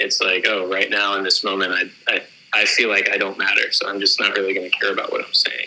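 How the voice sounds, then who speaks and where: Mumbled speech at a fairly quick pace, with noticeable background noise behind it. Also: man. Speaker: guitarist / musician. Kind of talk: casual interview chat. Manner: mumbling; chill, low-energy.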